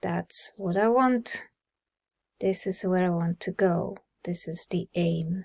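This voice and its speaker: A woman's fairly even intonation on a very clean recording, silent background, dry and close with no echo. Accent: Swiss German. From Switzerland. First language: Swiss German. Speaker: personal growth vlogger. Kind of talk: casual monologue.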